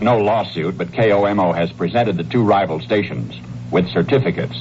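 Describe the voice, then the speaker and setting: A man speaks with a very deep, low pitch and very wide pitch swings. Noticeable background noise can be heard. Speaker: radio news commentator. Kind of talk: radio news commentary.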